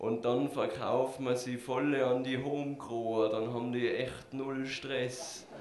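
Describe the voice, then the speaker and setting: Over noticeable background noise, a man talks very slowly at a medium pitch, in a flat monotone with hardly any pauses. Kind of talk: slam poetry performance, dialogue skit.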